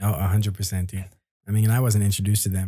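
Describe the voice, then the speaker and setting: This man's voice is somewhat breathy. It sits at a fairly low pitch. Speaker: college student and musician. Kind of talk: casual chat. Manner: halting, many fillers.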